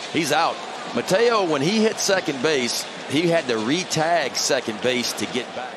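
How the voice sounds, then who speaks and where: The speech moves at a fairly slow pace with lively intonation. Noticeable background noise runs underneath. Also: man, fairly high pitch for a man. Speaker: color commentator. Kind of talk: live sports commentary, analysis banter.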